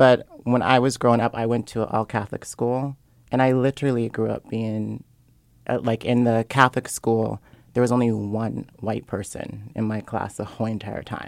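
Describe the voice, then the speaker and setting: A man at a moderate pace, monotone and flat, in a dry, close sound with no echo and a very clean recording with a silent background. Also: medium pitch for a man. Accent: American. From Seattle, US. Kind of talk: casual interview chat. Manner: soft-spoken.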